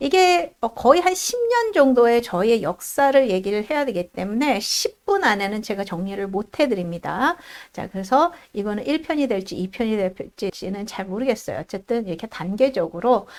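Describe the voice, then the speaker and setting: Her pitch swings very widely as this woman speaks at a moderate pace. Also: fairly high pitch for a woman. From South Korea. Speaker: immigrant vlogger, IT worker. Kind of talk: casual vlog monologue.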